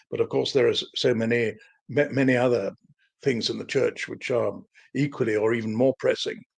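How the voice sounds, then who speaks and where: There is a British accent in this man's speech. He talks at a fairly quick pace. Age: 70s. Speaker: historian and author. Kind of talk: live-stream interview. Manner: halting, stammering repetitions.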